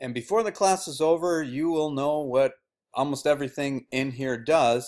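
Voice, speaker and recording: A man talks at a moderate pace in a plain, everyday voice with a fairly high pitch and ordinary pitch variation. The recording is very clean, with a silent background. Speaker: teacher. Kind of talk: tutorial.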